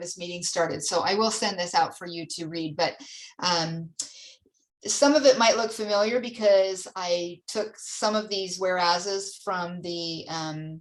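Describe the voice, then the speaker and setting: A woman with a plain, everyday voice, a moderate pace and ordinary pitch variation. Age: 60s. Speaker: church mission center leader. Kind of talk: church council meeting presentation; casual chat.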